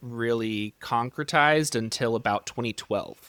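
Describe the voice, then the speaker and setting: On a very clean recording with a silent background, a man of medium pitch talks at a fairly slow pace in an unremarkable speaking voice. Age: 30s. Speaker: sleep medicine physician. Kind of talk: interview podcast.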